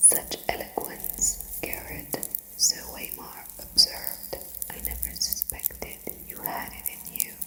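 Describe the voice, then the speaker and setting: Whispering at a very slow pace, with noticeable background noise. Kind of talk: whispered ASMR book reading for sleep. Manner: whispered, clicky mouth sounds.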